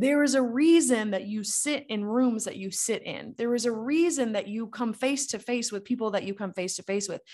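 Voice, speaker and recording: A woman speaks at a fairly high pitch and moderate pace, with hardly any pauses and ordinary pitch variation. Her tone is animated, and the background is quiet. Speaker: podcast host, network marketer. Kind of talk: solo motivational podcast monologue. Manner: loud.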